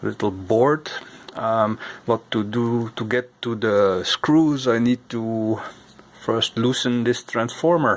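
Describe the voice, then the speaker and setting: A man talks with a non-native accent. His pace is very slow. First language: not English. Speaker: vintage computer repair YouTuber. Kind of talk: repair tutorial. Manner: halting, many fillers. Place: workshop. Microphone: phone near.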